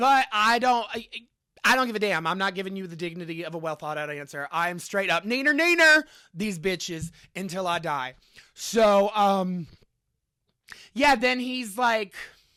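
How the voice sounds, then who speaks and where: The speaker has an animated tone and a moderate pace. The recording is very clean, with a silent background. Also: long, frequent pauses. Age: 30s. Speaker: podcast host. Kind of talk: casual monologue.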